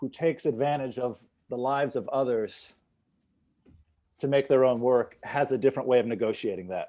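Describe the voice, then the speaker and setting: On a very clean recording with a silent background, a man's dark, mellow tone holds a fairly even intonation. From New York City. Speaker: photographer. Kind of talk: casual chat.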